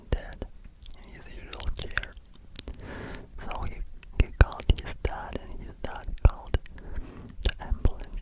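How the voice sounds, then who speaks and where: Whispering broken by long, frequent pauses, over noticeable background noise. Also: fairly slow pace. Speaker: ASMR creator. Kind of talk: ASMR movie retelling. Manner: casual, hesitant.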